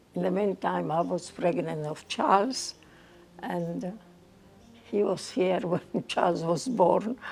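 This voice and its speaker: A woman talks at a very slow pace with long, frequent pauses. Noticeable background noise is present. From Egypt, Port Said. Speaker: migrant recalling her life. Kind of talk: interview storytelling.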